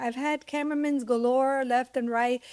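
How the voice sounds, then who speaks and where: With a silent background, this very clean recording has a dry, close sound and no echo. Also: woman. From US, raised in Cuban-American family. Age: 60s. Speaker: television executive producer. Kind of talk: casual chat. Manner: animated; direct.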